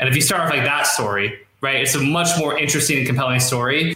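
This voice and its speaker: A man is speaking. Background noise is noticeable. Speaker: copywriter. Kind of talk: interview. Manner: fast.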